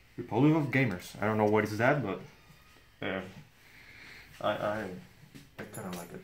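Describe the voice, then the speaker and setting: A man speaks with a Spanish accent at a fairly low pitch. His pitch varies in an ordinary way. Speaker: unboxing vlogger. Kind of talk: casual unboxing review. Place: home room. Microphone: phone near.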